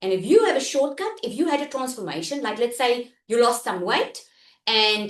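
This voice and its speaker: A loud woman at a high pitch, animated in tone, with lively intonation and a moderate pace. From South Africa. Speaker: online business coach. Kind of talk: live online workshop.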